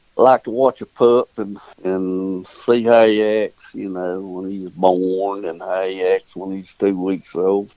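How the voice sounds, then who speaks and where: In a Southern US accent, a man with a very deep, low pitch and a dark, mellow tone talks in a monotone, flat way, the sound dry and close with no echo. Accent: Southern US rural. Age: 70s. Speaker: dog breeder and hunter. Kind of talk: casual interview.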